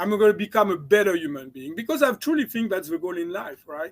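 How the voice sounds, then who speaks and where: A man with a slight French accent talks fairly quickly at a high pitch with lively intonation, in a dry, close sound with no echo. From France. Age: 60s. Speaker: chiropractor and mindset coach. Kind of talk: interview.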